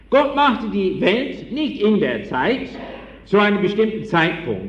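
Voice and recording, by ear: Over audible room echo, a man talks slowly in a high pitch with big pitch swings.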